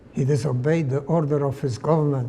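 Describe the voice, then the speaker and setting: Flat, monotone delivery at a moderate pace, with audible room echo. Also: man. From Poland, Lodz. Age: 90s. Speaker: Holocaust survivor. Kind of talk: testimony.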